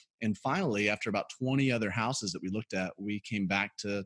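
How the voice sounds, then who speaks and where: With an American accent, a man speaks at a very fast pace in a fairly low voice with fairly even intonation. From US South, Birmingham, Alabama. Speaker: pastor. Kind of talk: interview testimony.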